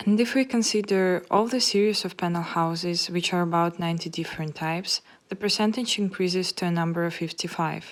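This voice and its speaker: Pitched fairly low, a woman talks at a fairly quick pace with hardly any pauses and ordinary pitch variation. The recording is very clean, with a silent background. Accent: Russian. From Russia. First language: Russian. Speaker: architecture student. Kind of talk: scripted narration.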